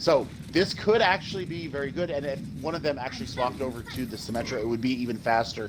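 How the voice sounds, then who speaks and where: A man talking at a very fast pace, fairly high in pitch with lively intonation, amid noticeable background noise and audible room echo. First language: not English. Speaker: esports co-caster. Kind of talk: live commentary. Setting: broadcast booth. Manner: halting, repeats words.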